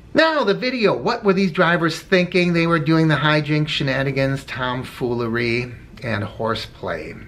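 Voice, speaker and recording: A man talks with lively intonation in a room with audible echo and noticeable background noise. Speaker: rideshare driver and video blogger. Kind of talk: casual vlog commentary. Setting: in a car. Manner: conversational, with filler words.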